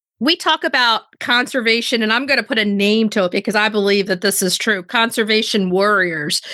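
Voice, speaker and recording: A woman's bright, sharp voice at a fairly quick pace, very even in loudness, with hardly any pauses. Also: fairly high pitch for a woman, ordinary pitch variation. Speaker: podcast host. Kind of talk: casual chat. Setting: video call.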